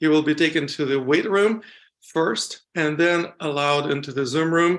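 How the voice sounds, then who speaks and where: Fairly slow speech with a non-native accent. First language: not English (English is third language). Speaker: summit host, qigong teacher. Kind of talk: event introduction.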